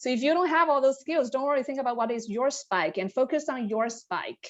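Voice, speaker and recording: A woman talks fairly quickly with ordinary pitch variation over a quiet background. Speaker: management consultant, panelist. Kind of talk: panel discussion.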